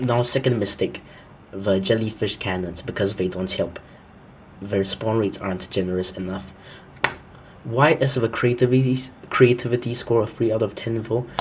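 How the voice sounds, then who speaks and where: With noticeable background noise, a man of medium pitch talks at a moderate pace, using ordinary pitch variation and long, frequent pauses. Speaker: gaming commentator. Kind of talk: game review commentary. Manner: pitch-shifted voice.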